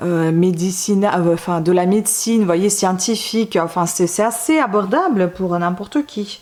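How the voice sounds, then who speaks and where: Over noticeable background noise, a woman speaks fairly slowly at a medium pitch, with ordinary pitch variation and hardly any pauses. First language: not French (speaking French). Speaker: book reviewer / YouTuber. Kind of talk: casual book review monologue. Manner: hesitant, many fillers.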